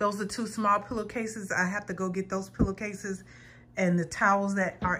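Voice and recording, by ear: With little pitch movement, this woman talks at a moderate pace in a medium-pitched, fairly bright voice.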